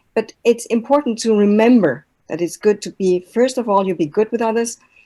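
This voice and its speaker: Her tone is dark and mellow. The woman shows ordinary pitch variation. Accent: German. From Germany. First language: German. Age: old. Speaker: language and intercultural trainer, mentor. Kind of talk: online talk with slides.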